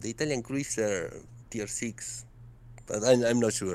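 A man with a Spanish accent. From South America. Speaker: gaming community contributor. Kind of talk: casual interview. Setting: online call. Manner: halting.

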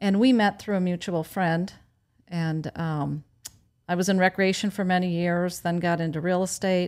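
In an American accent, a woman with a fairly low pitch and an unremarkable speaking voice talks at a moderate pace with fairly even intonation on a very clean recording with a silent background. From Wisconsin. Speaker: farmers market organizer. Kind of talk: casual interview.

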